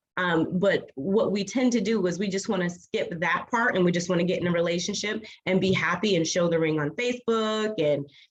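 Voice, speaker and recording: Medium in pitch, a woman's voice moves at a moderate pace with ordinary pitch variation. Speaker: licensed clinical social worker and author. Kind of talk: talk to an online group. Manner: animated.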